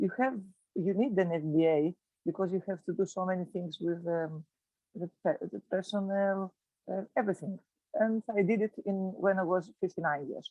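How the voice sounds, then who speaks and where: In a Greek accent, a woman speaks at a moderate pace. Her voice sits at a medium pitch with ordinary pitch variation. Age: 60s. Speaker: physiotherapist. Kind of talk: casual chat. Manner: halting.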